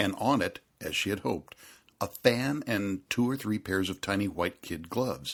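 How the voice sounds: Pitch moves in an ordinary way through this natural reading voice.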